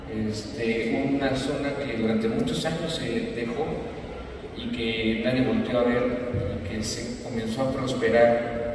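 Speech comes at a fairly slow pace with strong room echo and noticeable background noise. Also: man. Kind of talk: press statement. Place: hall.

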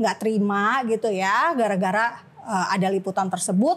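Female speech of moderate pace. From Makassar, Indonesia (Manado family); Indonesia. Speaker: journalist and activist; journalist. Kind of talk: casual interview. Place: studio.

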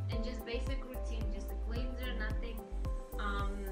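Loud music plays in the background as a woman speaks at a moderate pace. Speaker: esthetician. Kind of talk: casual talk to camera about treatment plan. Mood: calm, gentle. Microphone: camera far.

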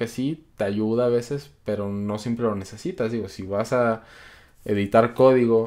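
A man keeps a moderate pace, and the background stays quiet. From Colombia. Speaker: programming youtuber; programming channel host. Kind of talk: live stream Q&A. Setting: live stream. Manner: casual, many filler words. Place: home room.

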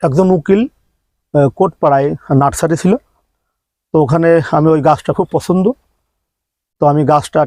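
A man with a fairly high pitch has an unremarkable speaking voice and ordinary pitch variation. The sound is dry and close with no echo. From Bangladesh, Jhenaidah. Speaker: humanitarian volunteer. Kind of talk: interview.

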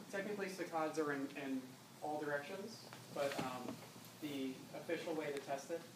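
Speech at a fairly quick pace comes through noticeable background noise. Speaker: instructor. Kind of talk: lecture. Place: classroom.

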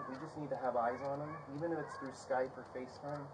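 Noticeable background noise surrounds a man speaking at a very fast pace. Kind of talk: police doorstep conversation. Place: street.

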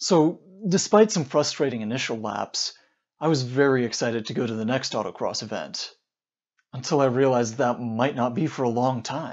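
Ordinary pitch variation runs through a man's fairly quick speech over a quiet background. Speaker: car vlogger. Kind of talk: casual vlog chat. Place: open country. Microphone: lapel.

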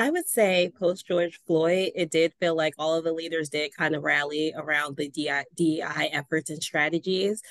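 With an American accent, a woman speaks fairly slowly in a fairly low voice with fairly even intonation and hardly any pauses, the sound dry with no echo and the background quiet. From Baltimore, US. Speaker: nonprofit development director; panelist. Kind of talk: panel discussion. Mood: earnest, somewhat disheartened. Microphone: video call.

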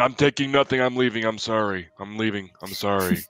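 The delivery is a put-on character voice. It moves at a fairly quick pace. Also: man, medium pitch for a man. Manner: flustered, apologetic.

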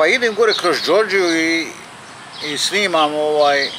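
A man speaks fairly slowly as noticeable background noise runs through the recording. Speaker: vlogger. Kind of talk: casual vlog chat. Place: open country. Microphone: phone near.

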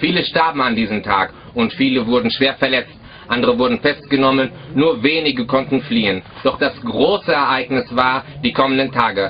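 A man at a moderate pace, with ordinary pitch variation, very even loudness, and light background noise. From Germany, North Rhine-Westphalia. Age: 20s. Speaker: army defector. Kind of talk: prepared statement to camera. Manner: formal. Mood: serious, measured.

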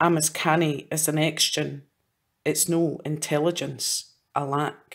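Flat, monotone delivery with vocal fry, a Scottish accent and a fairly slow pace. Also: woman, very deep, low pitch for a woman. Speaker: poet. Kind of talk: poetry reading.

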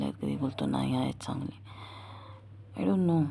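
Quiet and dark, mellow in tone, the voice shows vocal fry and very wide pitch swings. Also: woman. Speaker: vlogger. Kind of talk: casual vlog monologue. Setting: at home at night. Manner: quieter at night.

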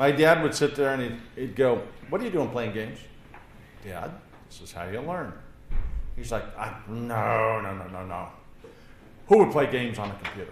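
At a moderate pace, a man talks with long, frequent pauses and big swings in loudness, amid light background noise and audible room echo. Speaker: course instructor. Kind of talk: lecture. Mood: relaxed, humorous. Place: classroom.

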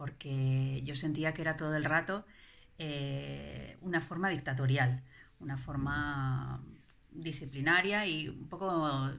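At a very slow pace, the voice moves through ordinary pitch variation. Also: woman. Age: 40s. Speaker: parent giving a testimonial. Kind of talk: testimony. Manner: halting, many fillers and repetitions. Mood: reflective, calm. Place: home room. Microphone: phone near.

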